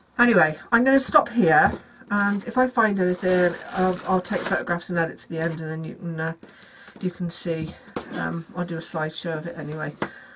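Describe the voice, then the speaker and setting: A woman's fairly low voice carries ordinary pitch movement at a moderate speed, with noticeable noise in the background. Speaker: craft youtuber. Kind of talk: tutorial. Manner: mumbling to herself; hesitant, many fillers.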